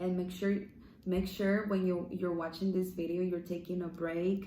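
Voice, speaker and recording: In a Spanish accent, a woman with a fairly low pitch speaks at a moderate pace amid audible room echo. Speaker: online devotional speaker. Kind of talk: devotional talk. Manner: halting.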